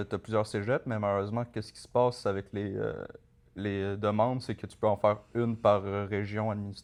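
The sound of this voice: Fairly quick speech with a Montreal accent, monotone and flat in intonation, with big swings in loudness. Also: man, fairly low pitch for a man. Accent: Montreal Quebec French.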